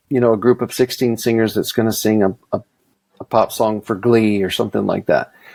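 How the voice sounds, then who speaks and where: At a fairly quick pace, a man with an American accent speaks at medium pitch with fairly even intonation, the sound dry and close with no echo. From US South, Mississippi. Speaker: session singer. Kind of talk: interview.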